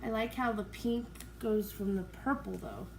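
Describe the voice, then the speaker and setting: Quiet and fairly slow, a woman speaks with audible room echo. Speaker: acrylic pour artist YouTuber. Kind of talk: casual tutorial commentary.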